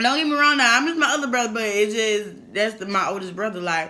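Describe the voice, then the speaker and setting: Noticeable background noise and audible room echo fill the recording. Through them, a woman speaks at a moderate pace. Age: 20s. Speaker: YouTuber. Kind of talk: casual mukbang chat. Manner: halting.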